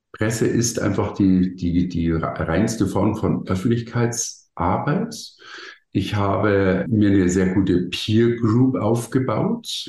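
A man with a fairly low pitch speaks at a very slow pace, with ordinary pitch variation, very even loudness and audible room echo. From Bavaria, Germany. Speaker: keynote speaker and marketing consultant. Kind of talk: interview. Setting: podcast studio.

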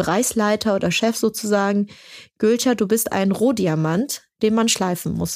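A woman speaks in a normal speaking voice. Her intonation is fairly even. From Germany, Turkish immigrant family. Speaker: startup founder. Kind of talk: interview. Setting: studio.

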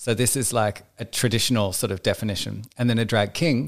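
On a very clean recording with a silent background, a man with an Australian accent speaks at a moderate pace with fairly even intonation. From rural Australia (Victoria). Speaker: drag performer. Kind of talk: casual chat.

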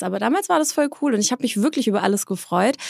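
Heard in a dry, close sound with no echo, a woman speaks with vocal fry and ordinary pitch variation. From Swabia, southern Germany (Eislingen near Stuttgart). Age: 30s. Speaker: entrepreneur and influencer. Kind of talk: interview.

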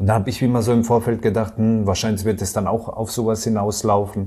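In a fairly low pitch, a man rushes along at a very fast pace, his dark, mellow tone somewhat breathy and his intonation monotone and flat. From Baden, Karlsruhe area (southwest Germany). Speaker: self-employed retailer and trading client. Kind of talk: interview testimonial.

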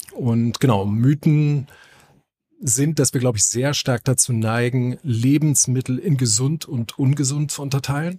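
A man talks fairly slowly at a medium pitch with ordinary pitch variation and a somewhat breathy sound. The recording is dry and close, with no echo. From northern Germany. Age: 40s. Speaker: gym owner and fitness trainer. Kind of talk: casual podcast chat. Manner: hesitant, many filler sounds.

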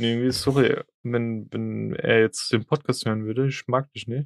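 A man with a normal speaking voice, medium pitch, fairly even intonation and a moderate pace, in a dry, close sound with no echo. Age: 20s. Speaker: podcast co-host. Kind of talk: casual chat.

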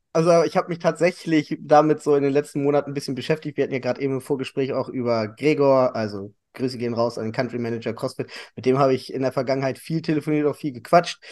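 This man's fairly high voice moves at a very fast pace. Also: ordinary pitch variation. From Hannover, northern Germany. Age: 30s. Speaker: fitness studio owner and CrossFit coach. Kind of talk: casual interview chat.

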